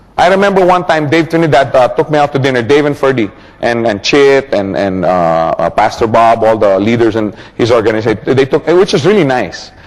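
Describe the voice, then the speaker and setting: A man's medium-pitched voice at a fairly quick pace, with very wide pitch swings and noticeable background noise. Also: very even loudness. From Philippines. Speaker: motivational business speaker. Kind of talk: seminar talk. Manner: animated.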